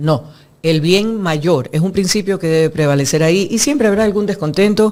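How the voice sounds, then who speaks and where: With an ordinary speaking voice, a woman talks at a moderate pace and medium pitch, her intonation lively and her loudness very even. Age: 60s. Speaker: former legislator, architect. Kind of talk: interview. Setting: studio.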